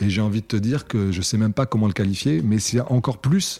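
A man speaks with a dark, mellow tone. The recording is very clean with a silent background. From southern France, Cannes (Alpes-Maritimes). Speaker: rapper and lyricist. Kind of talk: interview.

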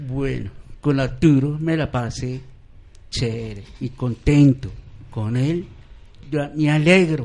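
A man talks at a very slow pace with long, frequent pauses. His pitch is medium, with ordinary variation. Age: 50s. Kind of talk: live radio chat. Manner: halting.

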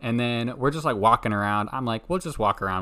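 A soft-spoken man has a bright, sharp tone. The recording is very clean, with a silent background. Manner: loud, though says he is normally soft-spoken.

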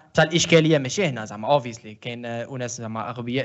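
A man with an Algerian accent at a fairly quick pace, with lively intonation. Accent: Algerian Arabic with French code-switching. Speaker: podcast co-host. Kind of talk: casual chat.

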